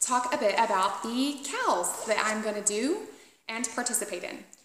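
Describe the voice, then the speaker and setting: An American-accented woman speaks at a fairly slow pace with lively intonation, and audible room echo can be heard. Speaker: knitting podcaster. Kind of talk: casual chat. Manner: animated.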